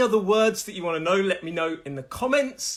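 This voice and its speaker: In a Nottingham accent, a man speaks at a high pitch with lively intonation. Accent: Midlands English (Nottingham). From English Midlands, Nottingham. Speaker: English pronunciation teacher. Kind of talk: live online lesson. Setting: live stream.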